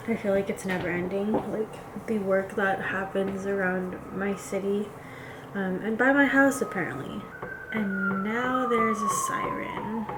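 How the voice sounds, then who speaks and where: The speech moves at a fairly slow pace with fairly even intonation. Room echo is audible, and background noise is noticeable. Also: woman, medium pitch for a woman. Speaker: vlogger. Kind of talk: casual vlog talk. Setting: at home. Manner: casual, filler-heavy.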